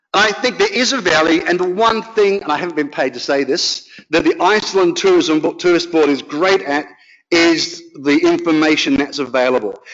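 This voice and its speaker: A man with a high-pitched voice and an Australian accent speaks at a moderate pace with lively intonation. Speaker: professor. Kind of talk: conference talk.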